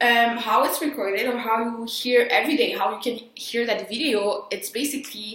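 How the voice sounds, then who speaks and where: A woman speaks at a moderate pace with a Quebec French accent, her pitch fairly high with ordinary variation. Room echo is audible, and there is noticeable background noise. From Quebec, Montreal. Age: 20s. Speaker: sound engineering student. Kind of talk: casual vlog. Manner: halting.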